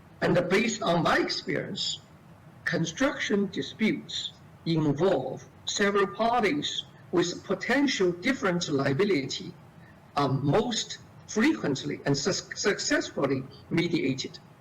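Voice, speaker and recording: A man's high voice with very wide pitch swings, very even loudness and a fairly slow pace, over noticeable background noise. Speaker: lawyer. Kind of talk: seminar talk. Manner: halting. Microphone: too quiet.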